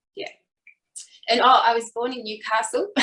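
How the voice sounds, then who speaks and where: Her voice is fairly high with a bright, sharp tone. This woman speaks with an Australian accent. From Australia, New South Wales. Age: 40s. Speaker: fitness instructor. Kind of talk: personal life story in interview.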